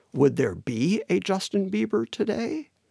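Here a man talks with an American accent, vocal fry and a dark, mellow tone, his pitch swinging very widely. The sound is dry and close, with no echo. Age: 60s. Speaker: musician. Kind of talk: casual chat.

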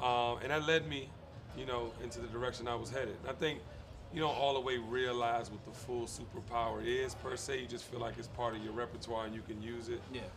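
Over noticeable background noise and audible room echo, a man speaks at a fairly quick pace and medium pitch with fairly even intonation. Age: 40s. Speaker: lifestyle specialist. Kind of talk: casual chat.

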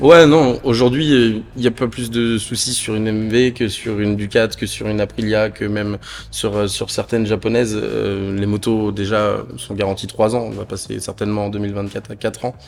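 Noticeable background noise is present throughout. At a moderate pace, a man talks with a fairly low pitch and fairly even intonation. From northern France. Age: 20s. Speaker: motorcycle dealership manager. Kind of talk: casual interview. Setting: dealership showroom. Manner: hesitant, many fillers.

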